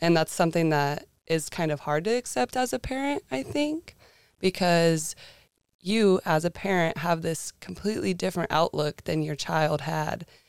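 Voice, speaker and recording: In a very clean, dry and close recording with a silent background and no echo, a woman with a fairly low pitch speaks at a moderate pace with lively intonation. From northern California, small mountain town. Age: 20s. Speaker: college student intern. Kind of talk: casual interview chat.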